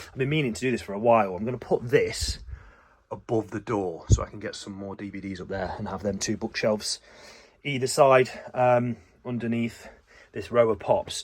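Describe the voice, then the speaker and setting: A man with an English accent, fairly quick pace and big swings in loudness. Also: medium pitch for a man, ordinary pitch variation. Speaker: gaming vlogger. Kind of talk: casual vlog. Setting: at home. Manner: quiet.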